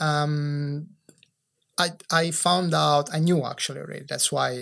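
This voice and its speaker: A man speaks at a fairly slow pace in a fairly high pitch, with an Italian accent. The recording is very clean, with a silent background. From Italy. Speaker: entrepreneur. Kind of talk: podcast interview; reading aloud. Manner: halting.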